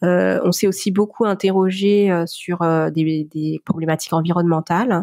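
A woman's dark, mellow tone comes through at a fairly low pitch and a fairly slow pace. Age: 40s. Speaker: lettering artist and entrepreneur. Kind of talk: interview testimony. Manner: hesitant, many filler pauses.

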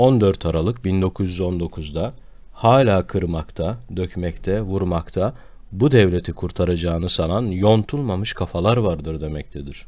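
A man's very deep, low voice, very slow pace and ordinary pitch variation against a quiet background. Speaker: history video narrator. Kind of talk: educational history talk.

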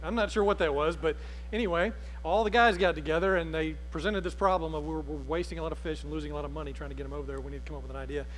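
Faint music plays behind a man with an Alabama accent who talks at a very fast pace. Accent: US Southern (Alabama). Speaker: pastor. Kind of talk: sermon. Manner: conversational. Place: church.

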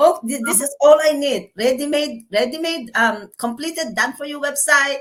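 Moderate pace, hardly any pauses, ordinary pitch variation and big swings in loudness. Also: woman, high pitch for a woman. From Philippines. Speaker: caregiver and online business owner. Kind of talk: interview testimony.

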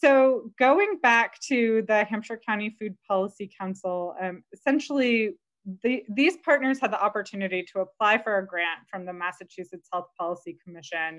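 A woman talks with lively intonation at a moderate pace, the background quiet. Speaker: webinar presenter. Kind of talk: presentation. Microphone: video call.

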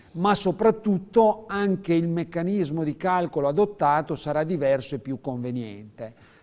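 With lively intonation and hardly any pauses, a man talks at a moderate pace in a high voice. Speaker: pension adviser; TV presenter. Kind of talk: explanatory advice on live TV. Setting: TV studio. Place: studio. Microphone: lapel.

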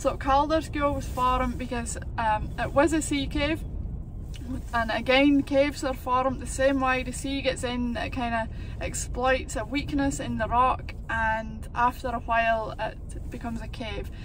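A woman talks at a fairly slow pace in a high pitch with fairly even intonation. The sound is dry with no echo, and background noise is noticeable. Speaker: local guide making a school video. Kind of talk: educational explanation for children. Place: car. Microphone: phone near.

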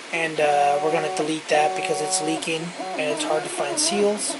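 Loud noise fills the background. A man speaks at a moderate pace. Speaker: vlogger. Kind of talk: casual vlog chat. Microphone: phone near.

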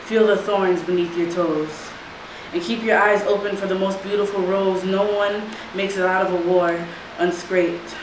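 Against noticeable background noise and audible room echo, a woman speaks at a moderate pace in a monotone, flat manner. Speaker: spoken word poet. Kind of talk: poetry performance. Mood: earnest, reflective. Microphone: camera far.

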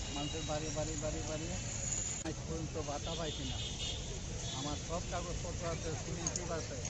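Dry sound with no echo over loud background noise. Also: man. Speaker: elderly man denied pension. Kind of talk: interview answer. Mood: plaintive, complaining of hardship. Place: street. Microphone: phone near.

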